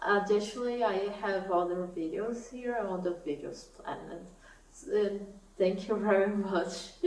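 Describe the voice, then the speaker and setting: A woman with a Portuguese accent talks at a fairly slow pace and medium pitch. Room echo is audible, and background noise is noticeable. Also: fairly even intonation. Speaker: knitting YouTuber. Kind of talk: casual vlog talk to camera.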